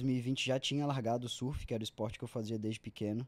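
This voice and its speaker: Over a silent background in a very clean recording, a man speaks with a dark, mellow tone and fairly even intonation. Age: 20s. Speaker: amateur triathlete. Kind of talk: interview.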